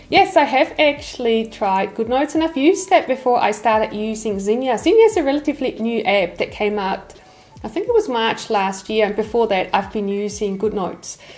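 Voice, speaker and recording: Music plays in the background as a woman talks at a fairly quick pace. Her fairly high voice has lively intonation. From Switzerland. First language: Swiss German. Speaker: lettering artist and YouTuber. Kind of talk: casual Q&A chat.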